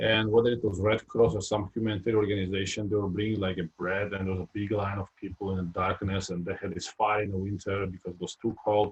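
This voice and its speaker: At a very fast pace with hardly any pauses, a man speaks in a fairly low, somewhat breathy voice with monotone, flat intonation. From Georgia (former Soviet Union). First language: Georgian or Russian. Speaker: retired basketball player. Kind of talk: interview. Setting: live video stream. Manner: halting, many fillers.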